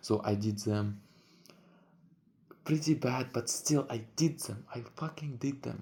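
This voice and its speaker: Dark, mellow, somewhat breathy male speech at medium pitch, fairly slow pace and ordinary pitch variation, in a very clean recording with a silent background. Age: 20s. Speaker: vlogger. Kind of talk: casual vlog monologue. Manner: halting.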